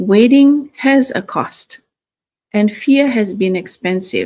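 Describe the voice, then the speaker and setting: Very slowly, a woman speaks at a fairly high pitch with a dark, mellow tone, somewhat breathy and with ordinary pitch variation. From Fiji. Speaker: registered nurse and online business coach. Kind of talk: motivational livestream talk. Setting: live stream from home. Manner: hesitant, many fillers.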